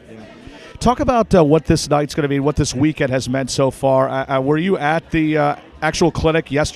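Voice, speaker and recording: With a fairly high pitch and ordinary pitch variation, a man talks fairly quickly as noticeable background noise plays. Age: 30s. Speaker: sports interviewer and announcer. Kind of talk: red carpet interview. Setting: hotel ballroom event.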